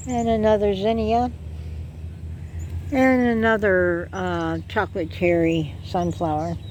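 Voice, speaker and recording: Audible room echo fills this recording of a woman with an American accent. She speaks at a very slow pace with long, frequent pauses. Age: 60s. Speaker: gardening vlogger. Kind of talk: casual garden tour vlog. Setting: outdoors in garden.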